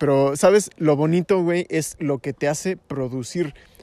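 A man speaks at a moderate pace with ordinary pitch variation in an unremarkable speaking voice. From Mexico. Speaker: youtuber. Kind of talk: casual chat.

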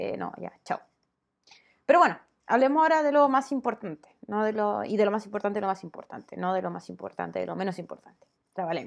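A woman with a Chilean accent talks at a fairly quick pace. Her loudness swings widely. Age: 30s. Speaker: YouTuber. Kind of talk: casual vlog monologue.

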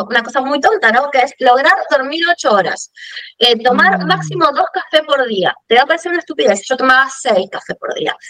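Her pitch rises and falls very widely. The woman's voice sits high. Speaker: podcast co-host, fashion business consultant. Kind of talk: casual chat.

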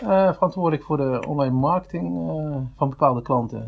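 The man talks at a moderate pace. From Netherlands, Limburg (Venlo). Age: 30s. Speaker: online marketing specialist. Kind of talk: casual interview. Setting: studio. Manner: halting, many repetitions.

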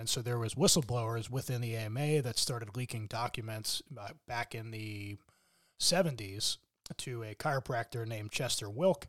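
A man speaks in an unremarkable speaking voice at a moderate pace, with medium pitch and ordinary pitch variation. The recording is very clean, with a silent background. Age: 40s. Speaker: chiropractor. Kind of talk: casual chat.

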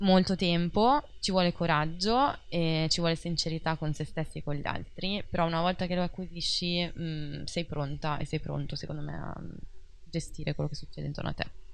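In an unremarkable speaking voice, a woman talks at a moderate pace with a fairly low pitch and fairly even intonation. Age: 30s. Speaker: life coach. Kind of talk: casual interview.

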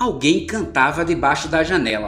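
With a Brazilian accent, a man speaks in a high pitch with lively intonation and a warm tone while music plays in the background. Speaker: podcast host and audiobook reader. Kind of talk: literary audiobook reading, steady narration with intro and outro. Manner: measured, narrative, warm and conversational in intro and outro.

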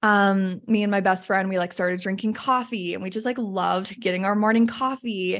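A woman with an American accent speaks in a normal speaking voice at medium pitch, with fairly even intonation and a moderate pace against a quiet background. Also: hardly any pauses. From Utah, US (north of Salt Lake City). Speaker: confidence coach. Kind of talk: casual interview chat.

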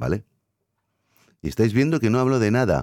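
The recording of this man's dark, mellow voice is very clean, with a silent background and a dry, close sound with no echo. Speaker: podcast host. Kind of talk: solo monologue podcast. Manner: hesitant, filler-heavy.

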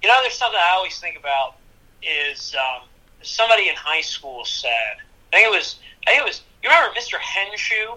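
A man with a Pennsylvania accent speaks at a fairly quick pace but leaves long, frequent pauses. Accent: Pennsylvania American English. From US Northeast (Easton, Pennsylvania). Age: 20s. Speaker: TV news producer. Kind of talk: casual chat.

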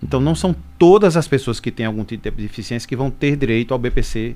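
Music behind a man's fairly quick delivery. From Brazil, Pernambuco (Caruaru). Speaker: social security agency manager. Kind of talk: radio interview Q&A. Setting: radio studio.

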